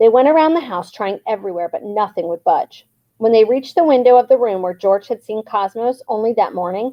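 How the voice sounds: The intonation is lively in this natural reading voice. Nothing much is heard behind it.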